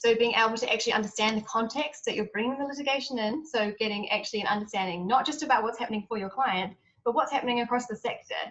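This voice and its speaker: A woman talks at a very fast pace with hardly any pauses and ordinary pitch variation. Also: fairly high pitch for a woman. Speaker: lawyer working with trafficking victims. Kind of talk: panel talk.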